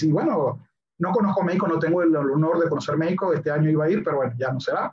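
His high-pitched male voice moves with ordinary pitch variation. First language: English (speaking Spanish). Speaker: science communicator and YouTuber. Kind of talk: casual chat.

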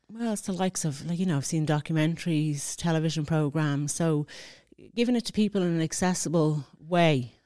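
A woman speaks in an Irish accent at a fairly quick pace, her pitch fairly low with ordinary variation. Her tone is dark and mellow. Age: 40s. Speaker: mature student. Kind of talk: interview.

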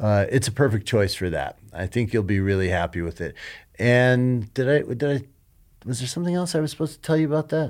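An unremarkable speaking voice with an American accent moves at a fairly quick pace with lively intonation. The recording is very clean, with a silent background. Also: man, medium pitch for a man. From US, Colorado (Denver). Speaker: ski boot company executive. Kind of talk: interview. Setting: company headquarters.

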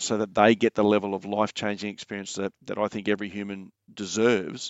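A man with an Australian accent speaks at a fairly low pitch. His intonation is monotone and flat. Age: 40s. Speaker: mindset coach and former soldier. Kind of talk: casual interview chat.

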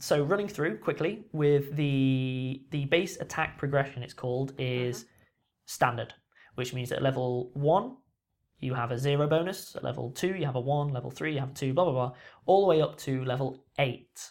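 On a very clean recording with a silent background, a man speaks at a moderate pace in an ordinary speaking voice, fairly high in pitch with ordinary pitch variation. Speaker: podcast host. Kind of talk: casual chat.

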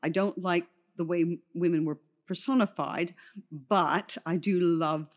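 A woman talks at a fairly slow pace with fairly low pitch and ordinary pitch variation. It is an ordinary speaking voice, with a quiet background. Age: 60s. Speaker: makeup artist. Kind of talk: interview.

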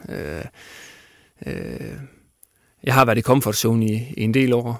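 A man speaks at a medium pitch with vocal fry and ordinary pitch variation. The recording is very clean, with a silent background. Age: 30s. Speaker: football coach and former player. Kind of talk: interview. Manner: halting, many fillers.

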